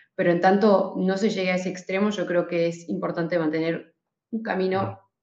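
Here a woman talks at a fairly low pitch. Her pace is moderate. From Argentina (raised partly in Switzerland). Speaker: podcast team member, news researcher. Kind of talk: casual chat.

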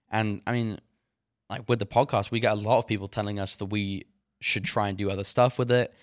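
Fairly low in pitch, a man with an English accent talks at a fairly quick pace. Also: fairly even intonation, very clean recording, silent background. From England. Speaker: podcast co-host. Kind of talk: casual chat.

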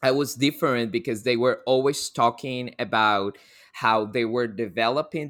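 On a very clean recording with a silent background, a man with a Colombian accent speaks at a moderate pace in a bright, sharp tone, his medium pitch varying in an ordinary way. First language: Spanish. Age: 20s. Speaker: coffee quality control worker. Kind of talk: casual interview chat.

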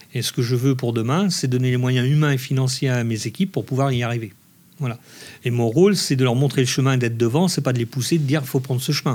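Here a man speaks at a very fast pace, somewhat breathy. His pitch sits at a medium level and shows ordinary variation. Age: 50s. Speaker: ice cream maker and business owner. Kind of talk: interview.

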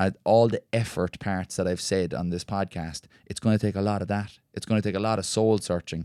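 A man with an Irish accent talks at a fairly quick pace with hardly any pauses, in a fairly low, dark, mellow tone and monotone, flat intonation. The sound is dry and close with no echo, on a very clean recording with a silent background. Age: young. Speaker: ultra endurance runner. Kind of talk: casual chat. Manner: lilting, poetic delivery.

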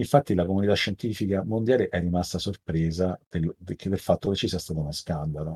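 At a fairly quick pace with hardly any pauses, the voice has a dark, mellow tone, sounds somewhat breathy, shows ordinary pitch variation and is captured with a dry, close sound with no echo. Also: man, very deep, low pitch for a man. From Italy, Rome. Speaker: tech entrepreneur, former researcher. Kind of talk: interview. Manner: halting, many fillers and repetitions.

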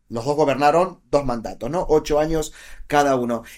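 The recording is very clean, with a silent background. On it, a man speaks at a moderate pace. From Argentina, Buenos Aires province. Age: 40s. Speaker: political analyst and author. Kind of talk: interview conversation.

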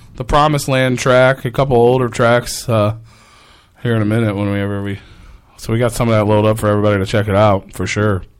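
Talking at a very fast pace, this man is heard. His intonation is fairly even. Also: medium pitch for a man. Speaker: internet radio co-host. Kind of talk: casual chat. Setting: studio.

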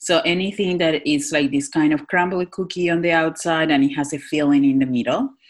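Speaking with a Spanish accent, a woman with a very deep, low pitch talks at a fairly quick pace with hardly any pauses. Her loudness stays very even, and her pitch variation is ordinary. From Northwest Argentina. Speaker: chef and cafe owner. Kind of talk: interview.

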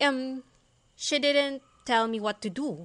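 A woman's bright, sharp tone at a very slow pace against a quiet background. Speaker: virtual assistant, engineer. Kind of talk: interview. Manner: hesitant, many fillers.

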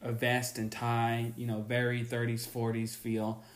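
Audible room echo surrounds a man speaking very slowly at medium pitch. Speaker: podcast host. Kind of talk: solo podcast monologue.

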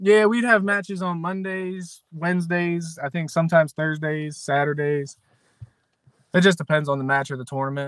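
With an American accent, a man talks at a moderate pace in a high voice, his pitch varying in an ordinary way. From Western Maryland, US. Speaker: MMA fighter and former wrestler. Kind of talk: interview. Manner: halting.

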